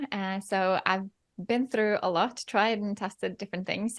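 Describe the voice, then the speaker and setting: At a fairly quick pace, a woman with a Norwegian accent speaks at medium pitch, the sound dry and close with no echo against a quiet background. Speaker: photography educator and mentor. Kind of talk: interview.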